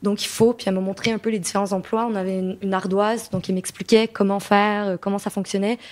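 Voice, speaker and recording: Her pitch medium and her intonation monotone and flat, a woman speaks at a fairly quick pace. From Quebec. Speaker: association co-director. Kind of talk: debate discussion. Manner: hesitant, many fillers and repetitions.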